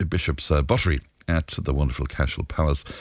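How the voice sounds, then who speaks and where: A man speaks with an Irish accent. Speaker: radio host. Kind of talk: radio talk show. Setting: studio.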